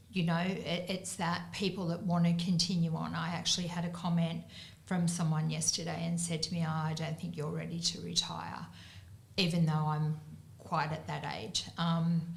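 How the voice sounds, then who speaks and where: In an Australian accent, a woman with a fairly low pitch speaks at a moderate pace in a monotone, flat delivery, with audible room echo. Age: 60s. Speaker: business owner. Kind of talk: panel discussion.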